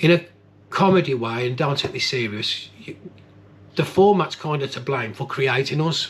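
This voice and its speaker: This man's voice sits fairly high and sounds somewhat breathy. His delivery moves at a moderate speed. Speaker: paranormal investigator. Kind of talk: vlog reflection to camera. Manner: soft-spoken.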